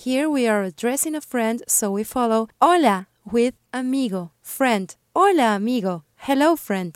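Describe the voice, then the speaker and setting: A woman speaks in a high voice with lively intonation. She barely pauses at all. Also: fairly slow pace, dry, close sound with no echo. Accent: Spanish. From Peru. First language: Spanish. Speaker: language teacher, podcast co-host, former DJ. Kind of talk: language lesson.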